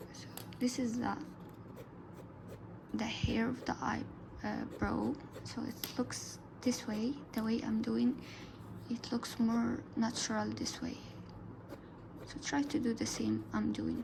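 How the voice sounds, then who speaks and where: The woman talks at a very slow pace, leaving long, frequent pauses. The room echo is audible and the background noise is noticeable. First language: Arabic. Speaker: art tutorial youtuber. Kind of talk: tutorial. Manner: casual, halting.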